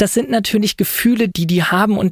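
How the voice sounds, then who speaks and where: A man's fairly quick speech with ordinary pitch variation. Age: 20s. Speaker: lawyer and doctoral student. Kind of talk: interview.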